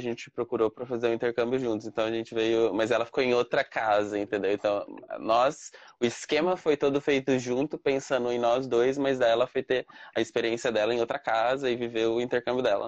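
In an ordinary speaking voice, a man with a medium pitch talks at a fairly quick pace with fairly even intonation. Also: dry, close sound with no echo. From Brazil. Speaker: Brazilian living abroad. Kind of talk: casual interview.

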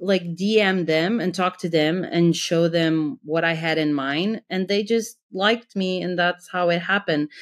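In a very clean recording with a silent background, a woman speaks fairly slowly at a fairly low pitch with ordinary variation. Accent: Portuguese. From Portugal. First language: Portuguese. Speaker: graphic designer. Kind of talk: interview.

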